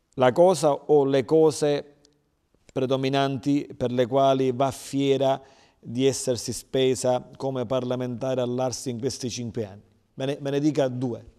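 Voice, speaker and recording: A man speaks at a fairly slow pace with fairly even intonation. His tone is dark and mellow, and the background is quiet. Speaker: TV interviewer. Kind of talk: interview. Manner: formal. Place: studio. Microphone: lapel.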